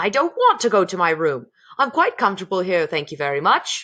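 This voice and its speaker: Middle-pitched, fairly quick put-on character voice. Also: female-sounding voice. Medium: read story. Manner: rude, blustering.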